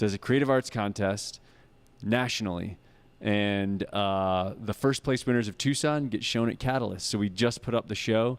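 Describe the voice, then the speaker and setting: A man speaks at a moderate pace with a fairly low pitch and ordinary pitch variation. The recording is very clean, with a silent background. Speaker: arts venue staff. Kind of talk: live show interview. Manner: loud.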